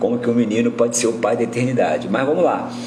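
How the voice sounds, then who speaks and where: A man talks amid audible room echo, with noticeable background noise in the recording. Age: 60s. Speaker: Bible teacher. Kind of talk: livestream Bible teaching. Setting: live stream. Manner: halting, many fillers.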